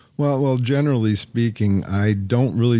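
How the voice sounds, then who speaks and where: A man's dark, mellow voice carries ordinary pitch variation over a quiet background. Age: 40s. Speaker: barbecue caterer. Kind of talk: interview. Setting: studio. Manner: halting.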